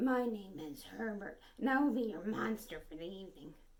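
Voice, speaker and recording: A female-sounding, breathy put-on character voice with a medium pitch for a woman. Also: moderate pace. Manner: polite, formal.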